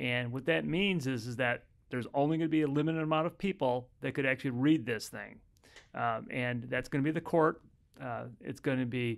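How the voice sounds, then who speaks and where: At a fairly quick pace, a man with an American accent speaks with ordinary pitch variation. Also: quiet background. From US Midwest (Chicago). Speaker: family law attorney. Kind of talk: casual chat. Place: office. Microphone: studio mic.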